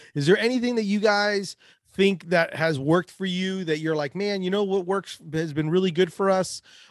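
Against a quiet background, the words come at a moderate speed. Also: man, dry, close sound with no echo. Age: 40s. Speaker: podcast host. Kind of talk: casual interview chat.

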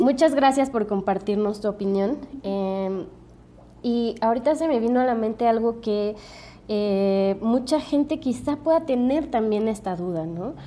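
A woman's fairly high voice with a dark, mellow tone, lively intonation and a fairly slow pace. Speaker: podcast host. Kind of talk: interview.

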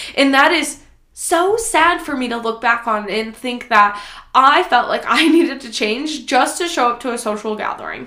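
An American-accented woman speaks at a moderate pace in a raised, projected voice, her high-pitched, bright, sharp tone animated and her intonation lively, with audible room echo. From US Midwest, Nebraska. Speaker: podcast host, fitness and lifestyle coach. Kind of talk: casual solo podcast monologue. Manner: animated, conversational.

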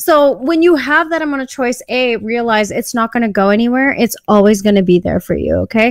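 Lively intonation carries a woman's fairly high-pitched, unremarkable speaking voice. She talks at a fairly quick pace with hardly any pauses. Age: 30s. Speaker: podcast guest. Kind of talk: casual chat. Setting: video call.

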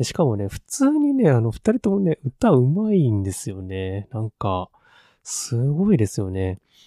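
A man at medium pitch with a dark, mellow tone and very wide pitch swings, at a fairly slow pace, in a very clean recording with a silent background and a dry, close sound with no echo. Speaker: podcast host. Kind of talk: casual solo podcast talk. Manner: many fillers, hesitant; polite, soft-spoken.

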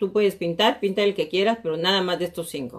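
A woman is speaking. Her pace is fairly quick. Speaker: real estate coach and show host. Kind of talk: live stream talk show answering viewer questions. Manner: animated.

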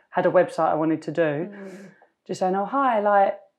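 This woman talks with a London accent. Her intonation stays fairly even. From East London, England. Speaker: fashion brand founder. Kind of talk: interview. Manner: trails off, mumbles.

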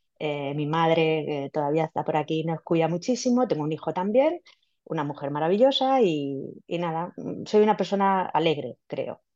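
Her pitch fairly low for a woman, she speaks at a moderate pace with lively intonation. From Spain, Villena (Alicante). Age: 50s. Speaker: scientist and amateur runner. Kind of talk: casual interview. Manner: halting, many repetitions and fillers.

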